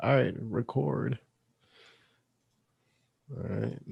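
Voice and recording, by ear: A man talks at a slow pace, his voice carrying vocal fry and a husky, rough edge.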